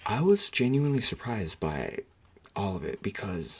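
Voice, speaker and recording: A soft-spoken man talks at a fairly slow pace. His pitch sits in the medium range. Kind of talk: soft-spoken ASMR talk to camera. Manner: soft-spoken, casual, hesitant.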